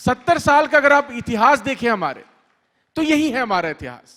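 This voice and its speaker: On a very clean recording with a silent background, a man with a Bengali accent speaks in a bright, sharp tone. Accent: non-native Hindi, Bengali-accented. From Bengal, India. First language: Bengali (speaking Hindi). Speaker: author. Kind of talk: literature festival talk. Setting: stage with audience. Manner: halting, with fillers.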